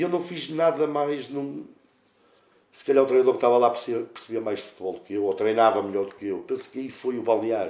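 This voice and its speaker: An ordinary speaking voice from a man, medium pitch, lively intonation, fairly quick pace, and big swings in loudness. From northern Portugal, Santa Maria de Lamas. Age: 40s. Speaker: football coach, former player. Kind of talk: casual interview.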